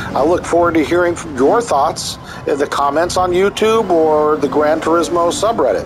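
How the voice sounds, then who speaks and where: A man speaks in a high pitch with ordinary pitch variation. Noticeable background noise is present. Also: moderate pace. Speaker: gaming YouTuber and forum moderator. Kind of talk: commentary monologue. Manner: halting, stumbles over words.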